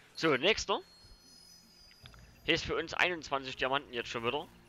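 A man with a Saxon accent speaks at a fairly quick pace. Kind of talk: casual gameplay commentary.

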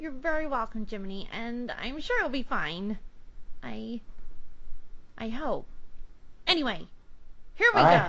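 A cartoonish character voice, female-sounding and fairly high, moves at a fairly slow pace with long, frequent pauses. Background noise is clearly audible. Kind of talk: fan voice impression of a cartoon character. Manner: friendly, polite, bookish.

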